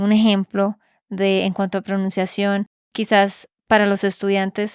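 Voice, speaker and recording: Fairly slow and flat in a monotone, a woman speaks with a Colombian accent. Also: dry, close sound with no echo, very clean recording, silent background. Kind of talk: podcast interview question.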